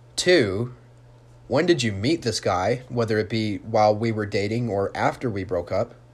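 The recording is very clean with a silent background. A man speaks at a moderate pace, somewhat breathy, with ordinary pitch variation. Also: medium pitch for a man. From Utah. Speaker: podcast host. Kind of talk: monologue storytelling. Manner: animated; halting.

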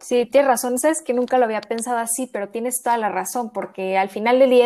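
A woman with an unremarkable speaking voice, fairly high in pitch, with ordinary pitch variation and a fairly quick pace, on a very clean recording with a silent background. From Mexico City. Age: 20s. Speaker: podcast co-host, law student. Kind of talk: casual chat.

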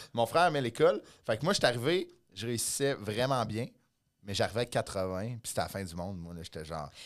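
Talking at a fairly quick pace, a man shows very wide pitch swings and big swings in loudness. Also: medium pitch for a man, very clean recording, silent background. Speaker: comedian. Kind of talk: casual chat.

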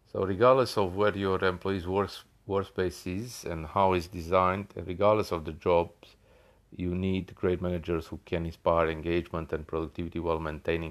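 Very deep and low, a man's voice holds a fairly even intonation at a moderate pace, with a quiet background. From Australia. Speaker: podcast host. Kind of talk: solo podcast monologue. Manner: halting, many fillers.

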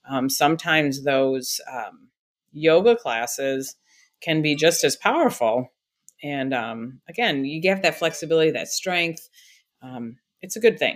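Over a silent background on a very clean recording, a woman talks at a fairly slow pace in a very deep, low voice with lively intonation. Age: 50s. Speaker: podcaster and wellness entrepreneur. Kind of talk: casual interview chat. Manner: halting with many fillers.

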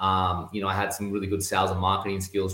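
In an American accent, a man speaks at a fairly low pitch with monotone, flat intonation. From Australia. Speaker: real estate investor. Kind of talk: casual interview chat.

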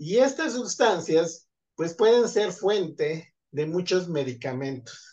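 A man's high-pitched, very slow speech with lively intonation. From central Mexico, State of Mexico. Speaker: chemistry and biology researcher. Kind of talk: interview.

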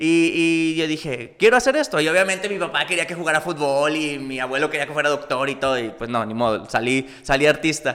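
Here a man speaks in a plain, everyday voice at a fairly high pitch with ordinary pitch variation. His pace is fairly quick, with hardly any pauses. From northern Mexico, Coahuila (Múzquiz). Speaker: actor and cosplayer. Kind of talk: casual chat.

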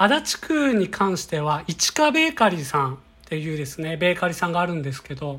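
A woman's fairly low voice, bright and sharp in tone, with very wide pitch swings and a fairly quick pace. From Kyoto. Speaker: company employee, bread enthusiast. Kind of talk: monologue podcast, recommendations. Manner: polite, formal.

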